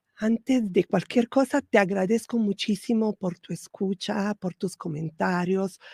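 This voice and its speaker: A woman's somewhat breathy, dark and mellow voice at medium pitch with ordinary pitch variation, a fairly slow pace and hardly any pauses, on a very clean recording with a silent background and a dry, close sound with no echo. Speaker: spiritual podcast host. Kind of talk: spiritual talk. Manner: soft-spoken; hesitant fillers.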